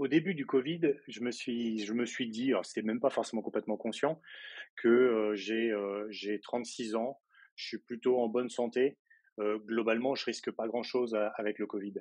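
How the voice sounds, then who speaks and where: Against a quiet background, a man of medium pitch talks at a moderate pace with fairly even intonation. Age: 30s. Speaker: interview guest on personal growth. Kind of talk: casual interview chat. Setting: podcast interview. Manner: hesitant, many fillers.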